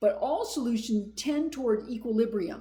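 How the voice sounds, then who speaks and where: A woman speaks at a fairly slow pace with a somewhat breathy voice. Room echo is audible. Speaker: math instructor. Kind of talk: lecture.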